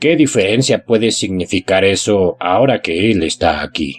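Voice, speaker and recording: Faint music plays behind a man using a put-on character voice. His pitch is fairly low and his pace moderate. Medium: read story. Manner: grim, deferential.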